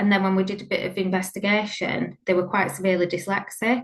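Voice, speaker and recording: A woman's somewhat breathy voice, monotone and flat in intonation, at a fairly quick pace. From Leeds, northern England. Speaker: former primary school teacher, founder of a support club. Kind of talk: webinar talk / training presentation.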